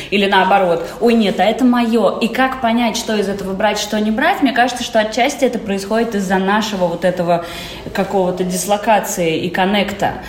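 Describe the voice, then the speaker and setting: Noticeable background noise and audible room echo around a woman's medium-pitched voice, fairly quick in pace with fairly even intonation. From Israel. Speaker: actress and producer. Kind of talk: casual chat. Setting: remote call.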